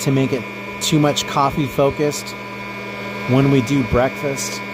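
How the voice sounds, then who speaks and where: Moderate-paced speech from a man with an American accent, medium in pitch, with noticeable background noise. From US, not Texas (Texan parents). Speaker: streamer. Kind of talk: casual live stream chat. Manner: loud.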